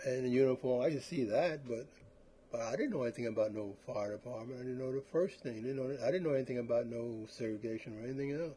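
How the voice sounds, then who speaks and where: Very fast speech from a man at medium pitch, with ordinary pitch variation. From US Northeast, South Philadelphia. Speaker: retired firefighter. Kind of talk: oral history interview. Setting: at home.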